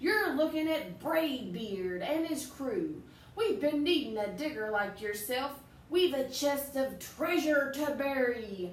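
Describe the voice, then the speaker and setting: In a loud, put-on character voice with a slight echo, a woman speaks at a high pitch and a fairly slow pace. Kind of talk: children's picture book read-aloud. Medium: read story. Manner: loud, blustering pirate talk.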